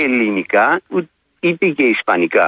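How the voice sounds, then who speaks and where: Using very wide pitch swings, a man talks at a medium pitch. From Rhodes, Greece. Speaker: caller. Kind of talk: phone-in call.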